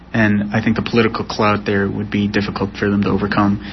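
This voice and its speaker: A man at a fairly low pitch, with noticeable background noise. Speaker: professor. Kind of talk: interview.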